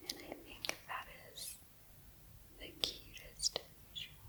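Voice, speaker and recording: Whispered words come at a very slow pace, with noticeable background noise behind them. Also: woman. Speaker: ASMR creator and host. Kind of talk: casual talk to camera, describing ASMR tools.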